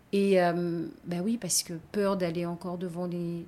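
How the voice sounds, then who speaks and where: A normal speaking voice at a fairly slow pace on a very clean recording with a silent background. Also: woman. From Guadeloupe (Basse-Terre). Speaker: gendarmerie employee. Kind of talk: testimony.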